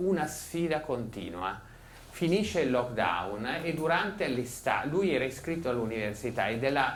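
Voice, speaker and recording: Lively intonation marks a man's fairly high-pitched voice at a moderate pace. Noticeable background noise and audible room echo are present. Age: 60s. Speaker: psychotherapist and author. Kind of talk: public talk. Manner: animated.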